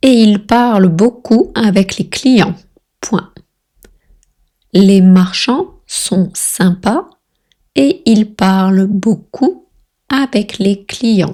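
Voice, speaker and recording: Delivered at a very slow pace with long, frequent pauses, the somewhat breathy voice keeps very even loudness and ordinary pitch variation. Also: woman. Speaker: French tutor. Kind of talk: language lesson dictation reading. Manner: slow, slowly dictated, repeated twice.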